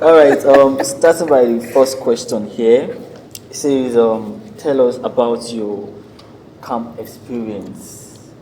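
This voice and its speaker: Speech comes at a very slow pace with fairly even intonation, and noticeable background noise runs underneath. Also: man, medium pitch for a man. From Nigeria. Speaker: national youth service member. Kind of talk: casual group chat. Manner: halting, many fillers.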